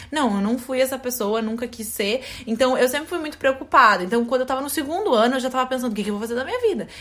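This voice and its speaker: A woman at a very fast pace with hardly any pauses, high pitch with ordinary pitch variation, noticeable background noise. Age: 20s. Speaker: podcast co-host, fashion content creator. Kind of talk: casual chat.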